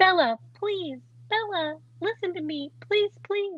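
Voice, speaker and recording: A put-on character voice is used here. It unfolds at a fairly slow pace. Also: woman, extremely high pitch for a woman. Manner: begging, dramatic.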